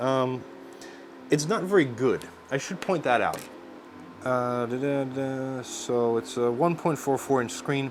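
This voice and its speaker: Speaking at a fairly slow pace with long, frequent pauses, a man with a medium pitch and ordinary pitch variation is heard over noticeable background noise. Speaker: tech reviewer. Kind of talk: product review narration. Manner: casual, hesitant with fillers.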